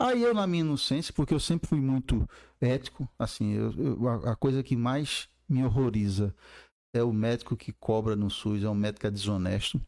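A man with an unremarkable speaking voice talks at medium pitch and a moderate pace with ordinary pitch variation, on a very clean recording with a silent background. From Brazil, Campina Grande, Paraíba. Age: 50s. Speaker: urologist and medical professor. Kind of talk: casual interview.

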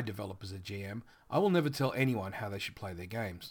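A man with an Australian accent, lively intonation and a fairly quick pace. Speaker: tabletop RPG game manager and podcaster. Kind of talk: scripted-style podcast intro monologue. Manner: self-deprecating, casual, chatty.

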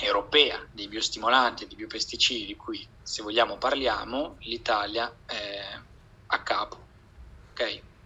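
A man speaking at a fairly slow pace. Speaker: PhD student. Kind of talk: casual chat.

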